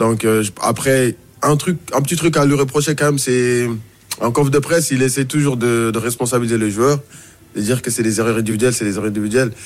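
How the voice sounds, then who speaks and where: This man has a plain, everyday voice at a medium pitch. He talks at a fairly quick pace with fairly even intonation. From Mauritania. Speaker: journalist. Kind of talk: radio football discussion. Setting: radio studio.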